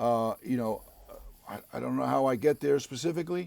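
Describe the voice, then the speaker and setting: A man speaks at a moderate pace in a medium pitch with an East Coast accent, the sound dry and close with no echo. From US East Coast, Harlem, New York. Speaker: actor. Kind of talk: casual interview chat.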